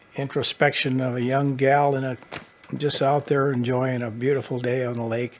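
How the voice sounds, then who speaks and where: A man talks in a monotone, flat intonation at a medium pitch. His moderate pace comes through noticeable background noise. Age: 70s. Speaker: painter. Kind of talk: interview. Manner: halting.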